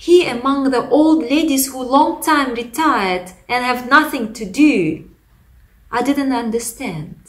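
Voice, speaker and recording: A woman with a Russian accent, high pitch, lively intonation and a fairly slow pace. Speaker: pastor. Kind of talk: testimony. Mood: earnest, reflective.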